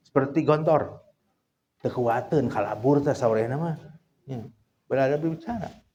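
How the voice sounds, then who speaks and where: In a room with audible echo, a man with a fairly high pitch speaks in a dark, mellow tone with ordinary pitch variation. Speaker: Islamic scholar teaching trainee clerics. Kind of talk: lecture. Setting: outdoor gathering at fish-pond huts. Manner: casual, mixing Sundanese and Indonesian.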